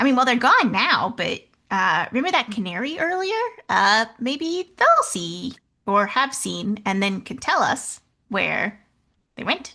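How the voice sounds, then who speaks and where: A woman uses a put-on character voice, high in pitch. She goes at a fairly slow pace. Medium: actual play.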